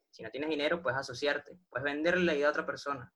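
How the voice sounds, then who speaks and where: A man's fairly high, bright, sharp voice with a Venezuelan accent. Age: 20s. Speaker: online business affiliate. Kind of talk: interview.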